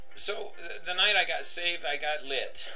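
This is a man's voice. His pitch shows ordinary variation. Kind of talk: personal testimony, casual monologue. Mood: earnest, emotional. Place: home room. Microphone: webcam.

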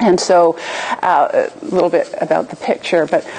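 A woman's fairly low voice at a moderate pace, a plain, everyday voice. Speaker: professor presenting. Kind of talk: lecture. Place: hall.

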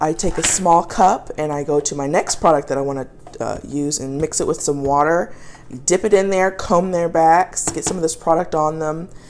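An unremarkable speaking voice from a woman, fairly low in pitch, with ordinary pitch variation at a moderate pace, over light background noise. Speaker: pet owner reviewing products. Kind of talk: casual product review. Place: kitchen. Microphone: phone near.

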